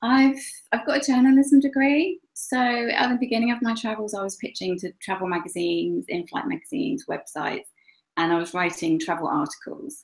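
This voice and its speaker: A woman's fairly high voice in an English accent, with very wide pitch swings and a fairly quick pace. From England. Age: 40s. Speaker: travel blogger. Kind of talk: interview.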